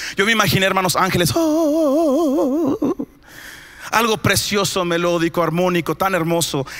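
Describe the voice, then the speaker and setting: A man with a high voice sounds animated, his pitch swinging very widely while his loudness stays very even, speaking at a fairly slow pace over noticeable background noise. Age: 30s. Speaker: pastor. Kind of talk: sermon. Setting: church.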